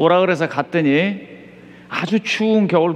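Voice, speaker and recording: A man's high-pitched voice. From South Korea, Chungcheong (Seosan). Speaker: pastor. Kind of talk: sermon. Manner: crisp, clipped delivery.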